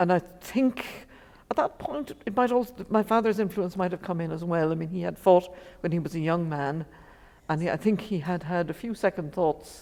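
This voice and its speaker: A woman with an Irish accent speaks at a moderate pace in a fairly low pitch, with ordinary pitch variation. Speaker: poet, daughter of the author discussed. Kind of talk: interview on stage. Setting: library seminar with audience.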